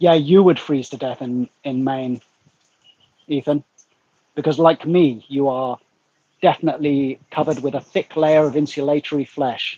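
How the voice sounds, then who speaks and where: In a dry, close recording with no echo, a man with an English accent speaks at a moderate pace in a dark, mellow tone, his fairly high pitch held to fairly even intonation and broken by long, frequent pauses. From England. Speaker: YouTuber guest. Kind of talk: casual chat. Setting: livestream.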